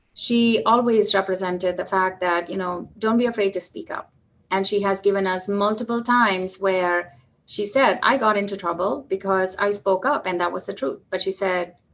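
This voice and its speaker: With a slight Indian accent, a woman speaks at a moderate pace in a medium pitch and fairly even intonation. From southern India (Madurai). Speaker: physician executive. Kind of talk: podcast interview.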